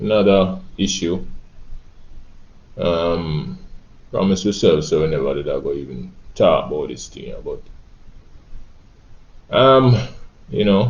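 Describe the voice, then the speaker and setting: A man with a Jamaican accent speaks at a fairly slow pace with long, frequent pauses. His loudness swings widely. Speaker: reggae singer. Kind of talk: spoken monologue, social commentary.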